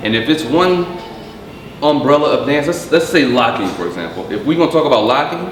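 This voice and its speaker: Against noticeable background noise, a man speaks at a fairly quick pace with lively intonation. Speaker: comedian, actor, dancer. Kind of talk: interview answer. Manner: casual.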